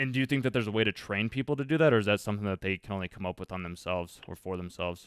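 Speaking very fast with hardly any pauses, a man with an American accent uses a fairly low pitch and ordinary pitch variation. The sound is dry with no echo, and the background is quiet. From Colorado. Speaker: student doing market research cold call; host interviewing a guest. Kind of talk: casual phone interview. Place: home room.

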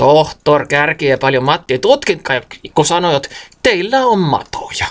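A man speaks in a high voice with a Karelian Isthmus accent. His pitch swings very widely. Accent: Karelian dialect of the Karelian Isthmus. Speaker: storyteller. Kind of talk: dialect storytelling. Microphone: phone near.

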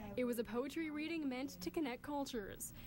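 The voice belongs to a woman. She speaks at a fairly quick pace. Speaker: news reporter. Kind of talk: TV news report.

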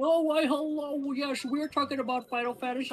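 High-pitched and fairly quick, this put-on character voice comes over clear background noise. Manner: mock-formal, polite.

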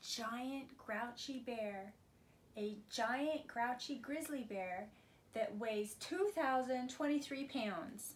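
A woman speaks at a very slow pace with a high pitch and lively intonation. Light background noise can be heard. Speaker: preschool teacher reading aloud. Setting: video recording for preschool class. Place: home room. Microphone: phone near.

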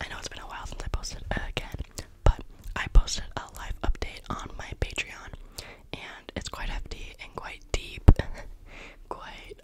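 Loud background noise surrounds a woman speaking at a moderate pace with long, frequent pauses, in a dry sound with no echo. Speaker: ASMR creator. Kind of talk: soft casual vlog chat. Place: home room. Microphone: studio mic.

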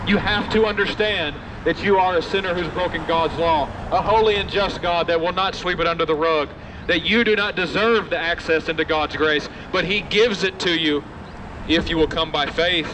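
Noticeable background noise accompanies a man with a high voice. He speaks at a moderate pace with fairly even intonation. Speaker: street preacher. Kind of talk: open-air street sermon, quoting King James scripture and urging passersby. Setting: outdoors on a university campus. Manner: impassioned, emphatic, repeating refrains like "died for the ungodly"; direct, confrontational address to listeners as "friend". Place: street.

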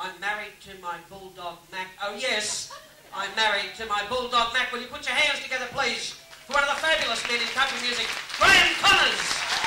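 A man talks in a raised, projected voice at a moderate pace. Crowd noise fills the background. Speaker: stage host. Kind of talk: stage introduction. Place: stage.

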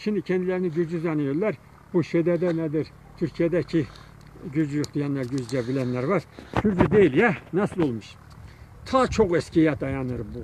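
A man at a fairly high pitch and moderate pace, with long, frequent pauses and noticeable background noise. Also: lively intonation, dry sound with no echo. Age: old. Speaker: folk minstrel; local poet, storyteller. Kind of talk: casual chat. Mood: calm, thoughtful. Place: open country. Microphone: phone near.

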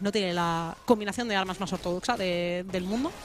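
Over noticeable background noise, a woman speaks in a raised, projected voice with an animated tone. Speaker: esports caster. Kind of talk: live esports commentary. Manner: fast, breathless play-by-play, animated; witty, jokes with magic-school and fable references.

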